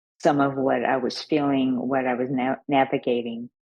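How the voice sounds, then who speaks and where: A woman's very deep, low voice with monotone, flat intonation at a moderate pace. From Puerto Rico, then Wyoming. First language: Spanish. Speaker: adoptee and speaker. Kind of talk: interview testimony.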